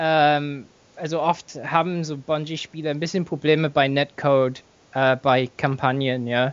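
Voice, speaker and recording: A man with an English accent speaks at a fairly slow pace, his intonation fairly even. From England. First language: English (speaking German). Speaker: gamer, podcast guest. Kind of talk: casual chat.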